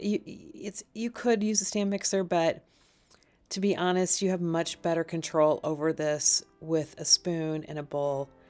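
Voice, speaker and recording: On a very clean recording with a silent background, a woman speaks in an unremarkable speaking voice, fairly low in pitch with ordinary pitch variation. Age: 50s. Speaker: cooking vlogger. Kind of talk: tutorial. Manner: casual.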